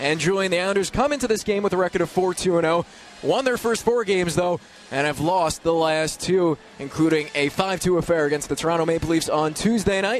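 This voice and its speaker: Over noticeable background noise, the speech moves at a fairly quick pace with very even loudness and ordinary pitch variation. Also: man, high pitch for a man. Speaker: radio play-by-play announcer. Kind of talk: radio sports broadcast opening. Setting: radio broadcast.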